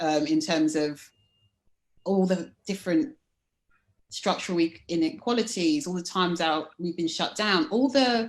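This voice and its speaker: Against a quiet background, a woman with a London accent talks fairly slowly with lively intonation. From London, England. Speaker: life coach. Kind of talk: interview.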